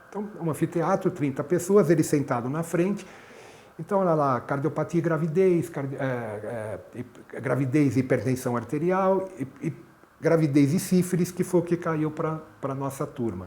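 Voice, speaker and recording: Moderately paced, a man's fairly high-pitched voice shows ordinary pitch variation. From Brazil, São Paulo. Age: 60s. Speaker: cardiologist and medical professor. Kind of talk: interview, personal recollection. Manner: halting, with repetitions.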